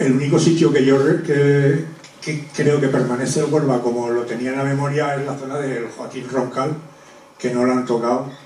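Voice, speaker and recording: A man speaks at a moderate pace and medium pitch with monotone, flat intonation, with audible room echo and noticeable background noise. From Spain, Zaragoza (Aragon). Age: 60s. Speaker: former river basin authority safety engineer. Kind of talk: public talk. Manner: halting.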